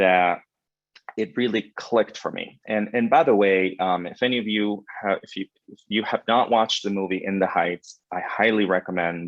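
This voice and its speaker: In a Spanish accent, a man speaks at a moderate pace. His voice is fairly low with fairly even intonation. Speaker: credit union executive. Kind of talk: panel webinar conversation.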